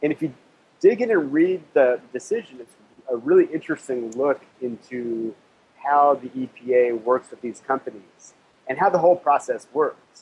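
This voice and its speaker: A man with a fairly high voice speaks at a moderate pace in an unremarkable speaking voice. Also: ordinary pitch variation, big swings in loudness. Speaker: food and agriculture journalist. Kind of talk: radio interview, explanatory commentary.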